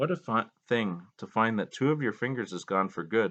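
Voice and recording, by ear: The background is quiet. Someone reads aloud in a natural voice.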